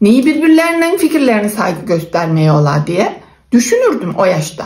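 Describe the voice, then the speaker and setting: Speaking in an Aegean accent at a moderate pace, a woman has a fairly high pitch with very wide pitch swings. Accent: Aegean Turkish dialect (Buldan, Denizli). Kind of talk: casual talk to camera.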